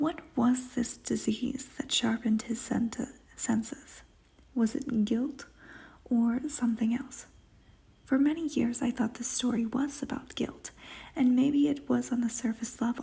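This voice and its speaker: Someone whispers quietly at a fairly slow pace. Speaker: book vlogger. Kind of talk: literary analysis. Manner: whispering.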